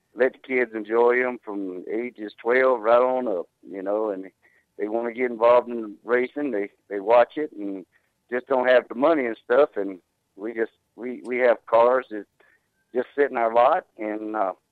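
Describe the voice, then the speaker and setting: Speaking at a moderate pace with a Southern US accent, a man with a medium pitch keeps his intonation fairly even while his loudness swings widely. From Georgia, US South. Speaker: tow company owner. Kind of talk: interview.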